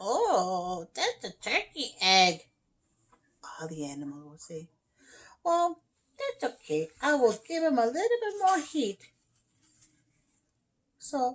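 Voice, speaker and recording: A woman does a put-on character voice, pitched high for a woman. She goes at a fairly slow pace with long, frequent pauses. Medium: read story. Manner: warm, motherly.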